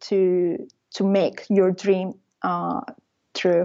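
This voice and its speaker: Speaking in an Italian accent, a woman talks. Her pace is very slow. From Italy. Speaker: travel blogger. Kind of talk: interview. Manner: halting.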